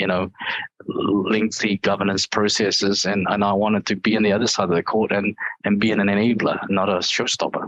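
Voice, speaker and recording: The intonation stays monotone and flat at a moderate pace. Loudness remains very even throughout. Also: man, fairly low pitch for a man. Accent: New Zealand. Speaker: IT executive. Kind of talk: interview. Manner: hesitant, many fillers.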